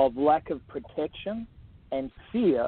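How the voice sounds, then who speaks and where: A man talks in a fairly high voice with lively intonation. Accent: Australian. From Australia. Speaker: author and abuse survivor advocate. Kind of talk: interview.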